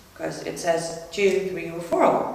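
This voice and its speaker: With noticeable background noise and audible room echo, a woman talks fairly slowly. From Iran. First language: Persian. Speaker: activist speaker. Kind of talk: public talk.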